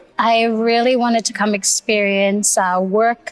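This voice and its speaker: A woman talks at a fairly slow pace with a fairly high pitch. The sound is dry and close with no echo, and music plays in the background. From Solomon Islands, then New Zealand from 2014. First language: Babatana. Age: 20s. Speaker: beauty pageant titleholder. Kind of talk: podcast interview. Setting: restaurant, live shoot.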